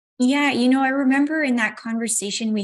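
Her somewhat breathy voice moves at a moderate pace, with ordinary pitch variation as the woman speaks. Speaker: interviewer for a finance news channel. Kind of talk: interview. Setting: video call. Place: home room. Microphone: earbuds.

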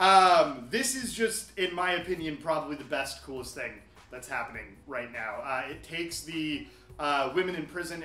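Audible room echo surrounds the speaker, a man. He talks with ordinary pitch variation. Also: big swings in loudness. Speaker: comic shop staff. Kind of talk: commentary. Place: shop.

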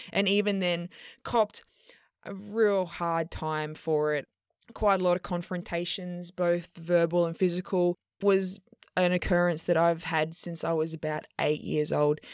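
Over a very clean recording with a silent background and a dry, close sound with no echo, a woman with an Australian accent speaks at a fairly slow pace, with a fairly low pitch and fairly even intonation. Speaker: podcast host and queer fitness coach. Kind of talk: educational solo podcast talk.

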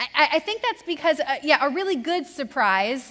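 A woman speaks in a raised, projected voice. Her pace is moderate. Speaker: preacher. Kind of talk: sermon. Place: church.

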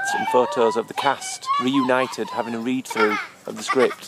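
A man talks at a moderate pace over crowd noise, the sound dry with no echo. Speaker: family vlogger. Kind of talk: casual vlog chat. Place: forest. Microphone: phone near.

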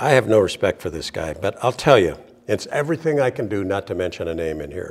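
Low-pitched male voice at a fast pace, with big pitch swings

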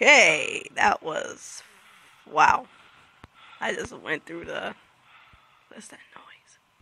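Speech moves at a very slow pace, broken by long, frequent pauses. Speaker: gaming youtuber. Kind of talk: let's play commentary.

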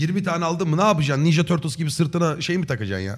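Somewhat breathy, a man speaks at a very fast pace against a quiet background. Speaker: livestreamer. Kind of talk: casual stream chat, reading donations. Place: home room. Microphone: studio mic.

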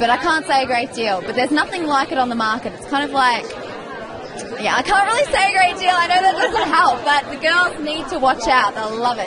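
A woman with an Australian accent at a fairly quick pace, amid noticeable background noise. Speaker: trade show model and actress. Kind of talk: interview answer. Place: street. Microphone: handheld.

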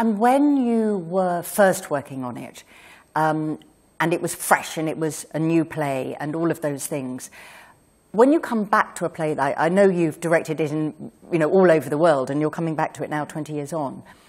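The voice moves at a moderate pace with ordinary pitch variation in a very clean recording with a silent background. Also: woman, very deep, low pitch for a woman. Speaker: novelist interviewing on stage. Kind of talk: onstage interview. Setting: stage with audience.

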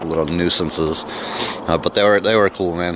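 A man with a very deep, low pitch speaks at a fairly slow pace with fairly even intonation, in a dry sound with no echo and noticeable background noise. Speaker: homesteader vlogger. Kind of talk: casual vlog chat. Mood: relaxed, amused. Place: open country. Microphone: phone near.

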